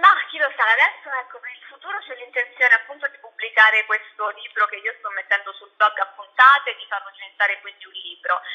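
Over a quiet background, a woman talks at a very fast pace. Her intonation is lively, with hardly any pauses. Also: big swings in loudness. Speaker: journalist and blogger. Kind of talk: radio interview, casual chat. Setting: online radio interview. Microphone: phone near.

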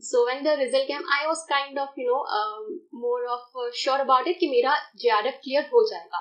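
A woman talks at a moderate pace with a high pitch and lively intonation. The background is quiet. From India (Rajasthan). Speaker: exam topper, commerce postgraduate student. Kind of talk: interview. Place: studio.

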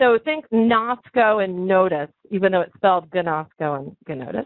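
Speaking at a fairly slow pace, this voice comes through dry with no echo against a quiet background. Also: woman. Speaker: online teacher. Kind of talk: lecture. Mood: encouraging, upbeat. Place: home room. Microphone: headset.

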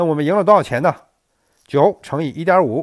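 Speaking at a moderate pace, a man uses a fairly high pitch, lively intonation and vocal fry. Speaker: gambling strategy youtuber. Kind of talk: tutorial. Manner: loud, straining voice; frequent fillers, halting. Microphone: mic held very close to mouth.

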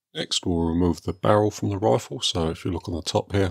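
Against a quiet background, a man with a very deep, low pitch talks at a moderate pace with ordinary pitch variation. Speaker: airgun hobbyist. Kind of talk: tutorial narration. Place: workshop.

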